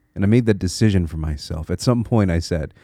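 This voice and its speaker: A man with an American accent talks at a fairly quick pace in a dark, mellow tone with ordinary pitch variation. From Connecticut, US. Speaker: podcast host. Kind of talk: solo monologue podcast, reflective. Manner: reflective, halting with repeated words.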